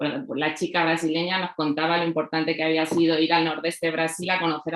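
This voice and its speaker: A woman with a Castilian accent talks at a fairly quick pace in a flat, monotone delivery. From Spain, La Mancha. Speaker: writer and researcher. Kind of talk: panel talk. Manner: halting, many fillers.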